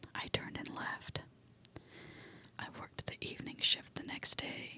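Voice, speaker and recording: Noticeable background noise can be heard. Over it, a woman whispers. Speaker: ASMR creator. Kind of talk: whispered horror story reading for relaxation. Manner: whispering, soft.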